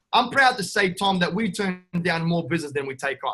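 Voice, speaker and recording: Speaking at a very fast pace, a man with an Australian accent has a high pitch. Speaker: real estate investor. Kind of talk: podcast interview. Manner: animated, brash.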